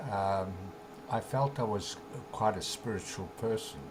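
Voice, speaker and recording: A somewhat breathy man with a fairly low pitch, at a fairly slow pace. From South Africa. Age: 70s. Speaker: author and spiritual teacher. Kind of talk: interview. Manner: halting, many fillers.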